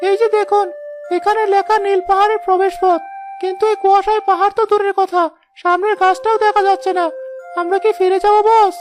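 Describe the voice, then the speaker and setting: Music plays in the background as a woman uses a cartoonish character voice. She talks at a fairly quick pace. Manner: nervous, deferential.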